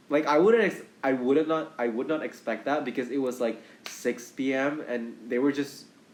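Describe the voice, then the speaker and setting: A man's mid-range voice, with normal pitch movement, is heard through noticeable background noise. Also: moderate pace. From Indonesia. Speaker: actor and podcast host. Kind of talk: casual chat.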